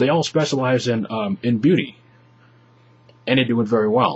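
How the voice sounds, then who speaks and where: The man's voice is somewhat breathy and medium in pitch. He speaks at a moderate pace with ordinary pitch variation. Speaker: YouTuber vlogger. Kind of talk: advice vlog to webcam. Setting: webcam in bedroom.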